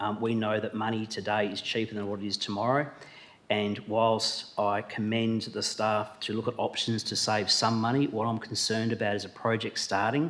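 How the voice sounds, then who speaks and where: A man speaks at a moderate pace in a fairly low pitch, with noticeable background noise. His intonation is monotone and flat. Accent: Australian. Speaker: shire president chairing council meeting. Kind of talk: council meeting debate speech. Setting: council chamber with public gallery. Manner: halting with fillers.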